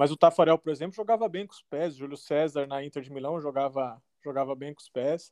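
At a very fast pace, a man with a fairly high pitch speaks with ordinary pitch variation and big swings in loudness, the sound dry and close with no echo. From São Paulo state, Brazil (raised in Guarulhos). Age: 30s. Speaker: professional football goalkeeper. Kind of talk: casual interview.

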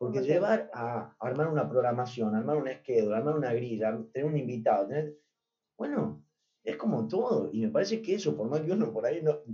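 Very wide pitch swings mark this man's medium-pitched voice as he talks at a fairly quick pace. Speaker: singer. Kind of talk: interview.

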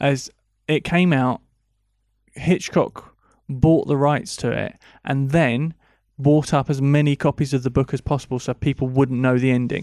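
A man's fairly high voice at a moderate pace, with fairly even intonation and long, frequent pauses, on a very clean recording with a silent background. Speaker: film podcast co-host. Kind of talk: casual chat.

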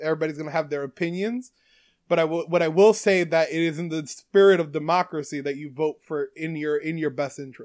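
With an American accent, a man speaks at a high pitch with ordinary pitch variation. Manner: casual, profane.

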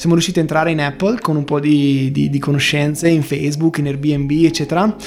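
A man with a fairly high voice talks fairly quickly, with noticeable noise in the background. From Bergamo, northern Italy. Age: young. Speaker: startup founder. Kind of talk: interview. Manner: animated.

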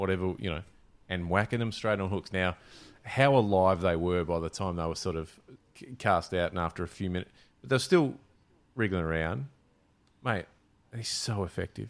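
Speaking in an Australian accent at a moderate pace with long, frequent pauses, a man uses a very deep, low pitch and ordinary pitch variation on a very clean recording with a silent background. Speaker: fishing podcast host. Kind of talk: casual chat.

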